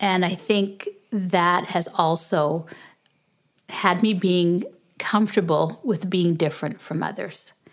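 A woman talks in an ordinary speaking voice, fairly low in pitch, with fairly even intonation. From Canada and Jamaica. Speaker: podcast host, homeschooling parent. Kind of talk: casual Q&A interview; casual closing remarks.

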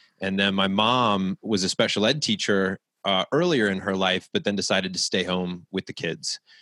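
A man with an American accent uses an ordinary speaking voice, fairly low in pitch with ordinary pitch variation, moving at a moderate pace with hardly any pauses in a dry, close sound with no echo. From US, military family moving around. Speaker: author, speaker and coach. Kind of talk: casual interview.

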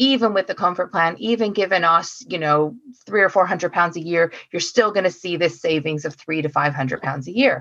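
A woman with an American accent uses a normal speaking voice at a moderate pace, her fairly low pitch showing ordinary pitch variation. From US, Oregon. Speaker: council energy officer. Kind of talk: casual chat.

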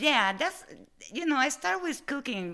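A woman with an Italian accent speaks at a moderate pace. Her tone is bright and sharp, with very wide pitch swings. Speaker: food entrepreneur. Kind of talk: interview. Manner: halting.

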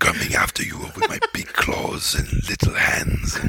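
A put-on character voice speaks at a moderate pace. Background noise is clear behind it. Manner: menacing, gruff villain.

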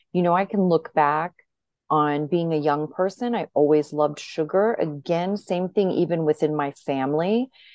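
In a plain, everyday voice, a woman talks at a moderate pace with fairly low pitch and ordinary pitch variation. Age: 50s. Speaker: podcast guest in addiction recovery, podcaster. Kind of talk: personal testimony interview.

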